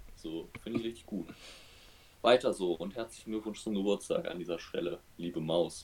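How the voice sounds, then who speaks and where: Fairly low in pitch, a man speaks at a moderate pace. His pitch varies in an ordinary way. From western Germany, Oberbergisches Land. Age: 20s. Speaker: podcast co-host. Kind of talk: casual chat.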